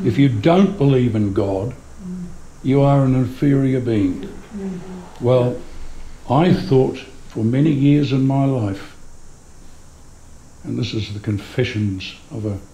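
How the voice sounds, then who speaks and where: A man at a very slow pace, long and frequent pauses, lively intonation, audible room echo. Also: medium pitch for a man. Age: 70s. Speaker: humanist celebrant and audience member. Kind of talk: audience comment at a public talk.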